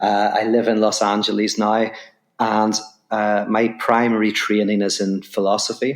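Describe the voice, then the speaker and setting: A fairly low-pitched man with an Irish accent, monotone and flat, very even in loudness, on a very clean recording with a silent background. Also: moderate pace. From Ireland. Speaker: philosopher and author. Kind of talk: podcast interview.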